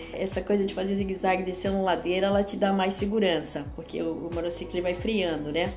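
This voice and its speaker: A woman talks at a very fast pace with hardly any pauses. Music plays in the background, and the room echo is audible. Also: medium pitch for a woman. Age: 60s. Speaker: electric unicycle rider. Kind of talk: personal testimony. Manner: animated.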